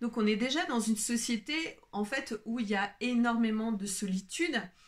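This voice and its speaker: A somewhat breathy voice at a fairly slow pace. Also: woman. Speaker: wellbeing coach and video creator. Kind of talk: unscripted solo video talk. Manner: hesitant, many fillers.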